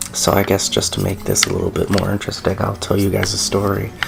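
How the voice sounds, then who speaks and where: A man whispers quietly at a very even loudness. Noticeable background noise can be heard. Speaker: gaming YouTuber. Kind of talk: let's play commentary. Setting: home recording at night. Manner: quiet, near whisper; hesitant, many fillers.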